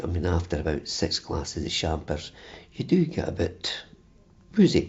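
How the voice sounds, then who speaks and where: A man's very deep, low voice with a Dundee accent, somewhat breathy, at a fairly slow pace with fairly even intonation. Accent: Scottish (Dundee). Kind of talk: interview. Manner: stammering; halting.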